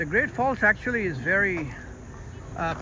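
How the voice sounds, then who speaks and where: Lively intonation marks a man's speech over noticeable background noise. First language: Hindi/Urdu. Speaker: travel vlogger. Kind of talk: vlog narration. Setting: outdoors. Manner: halting, many fillers.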